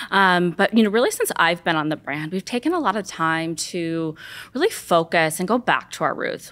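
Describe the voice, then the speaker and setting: A woman at a medium pitch with a Los Angeles accent, lively intonation and a moderate pace, in a very clean recording with a silent background. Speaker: beauty brand marketing lead. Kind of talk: casual interview.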